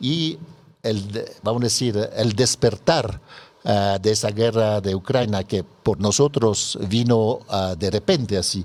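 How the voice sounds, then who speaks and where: Very slowly, a man talks while his pitch varies in an ordinary way. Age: 60s. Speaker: NGO president. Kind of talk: radio interview. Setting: radio studio. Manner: halting, many fillers.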